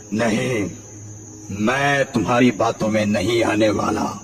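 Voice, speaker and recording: A man performs a cartoonish character voice at medium pitch. He goes at a fairly slow pace over clear background noise. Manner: menacing.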